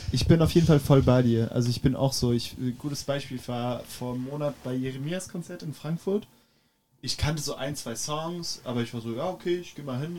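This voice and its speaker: Lively in intonation, a man talks at a moderate pace in a fairly high pitch. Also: big swings in loudness. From France, Paris. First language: French (speaking German). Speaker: drummer. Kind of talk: casual chat.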